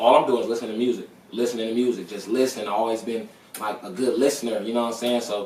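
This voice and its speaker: Noticeable background noise and audible room echo surround the speaker. He is a man with an American accent and medium pitch. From Las Vegas, US. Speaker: rapper. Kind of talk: casual chat.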